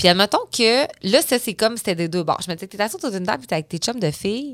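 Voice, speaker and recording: The speech is very fast with lively intonation. It is a very clean recording with a silent background and a dry, close sound with no echo. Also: woman. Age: 30s. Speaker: entrepreneur, company founder. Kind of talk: casual interview chat.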